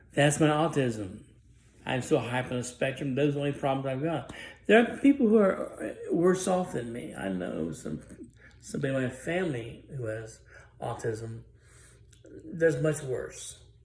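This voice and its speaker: In a room with audible echo, a man with a medium-pitched voice speaks at a moderate pace with lively intonation and long, frequent pauses. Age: 60s. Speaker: author. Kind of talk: personal testimony. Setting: indoors, dim room. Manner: halting.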